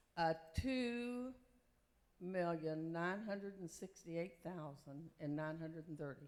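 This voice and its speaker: Audible room echo carries a woman's fairly low voice as she speaks slowly with lively intonation. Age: old. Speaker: retired sales director. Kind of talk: stage panel discussion.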